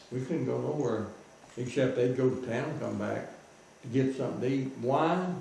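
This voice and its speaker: With a Southern US accent, a man speaks at a medium pitch and moderate pace with ordinary pitch variation, audible room echo and noticeable background noise. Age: 80s+. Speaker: war veteran. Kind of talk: storytelling.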